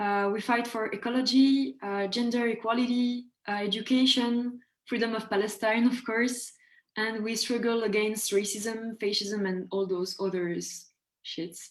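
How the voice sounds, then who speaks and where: Fairly even intonation from a woman with a French accent, fairly high pitch and a moderate pace. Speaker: student activist. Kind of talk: self-introduction on webinar. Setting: video call webinar.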